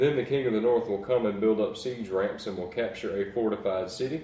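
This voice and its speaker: The voice is somewhat breathy, with a dark, mellow tone, a fairly quick pace and ordinary pitch variation. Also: man. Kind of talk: bible reading. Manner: casual, hesitant.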